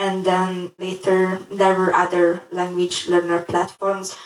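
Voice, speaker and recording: Speaking with a Hungarian accent, a woman keeps a fairly slow pace and monotone, flat intonation. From Hungary. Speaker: language learner. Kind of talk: interview.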